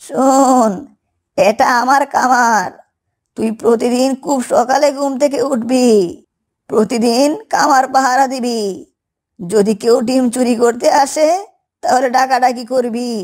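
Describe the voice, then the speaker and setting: This is a cartoonish character voice with a fairly high pitch. It moves at a fairly slow pace. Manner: homely, scolding.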